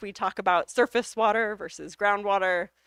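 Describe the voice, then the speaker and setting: With an American accent, a woman speaks in a normal speaking voice at medium pitch, the sound dry and close with no echo. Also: very clean recording, silent background. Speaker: hydrogeology researcher and professor. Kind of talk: lecture Q&A.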